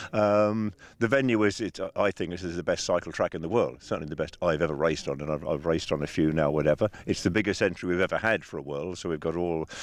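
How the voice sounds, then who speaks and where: Very fast and very deep, a man's voice carries an English accent. His pitch varies in an ordinary way. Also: hardly any pauses. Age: 70s. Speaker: bicycle designer. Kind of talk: interview. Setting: outdoors.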